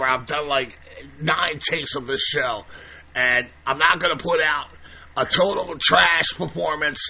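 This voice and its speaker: Speaking at a fairly slow pace, this man has a fairly high pitch, with noticeable background noise around him. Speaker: podcast host. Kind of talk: podcast monologue. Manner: up-tempo; halting.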